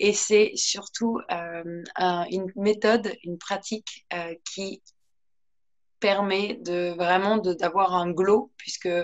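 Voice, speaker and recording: Very slow, fairly even-toned speech from a woman. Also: medium pitch for a woman. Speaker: yoga teacher. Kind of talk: guided yoga class. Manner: soft-spoken.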